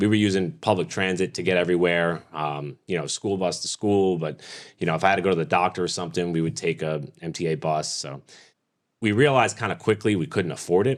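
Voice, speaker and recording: A man with an American accent talks at a very fast pace in a very deep, low voice with ordinary pitch variation, recorded very cleanly against a silent background. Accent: New York accent, thicker when casual. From Staten Island, New York City. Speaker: motorsport race announcer. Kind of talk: casual podcast interview. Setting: studio.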